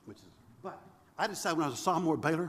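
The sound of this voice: Very fast delivery with lively intonation. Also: man, fairly high pitch for a man, fairly bright tone.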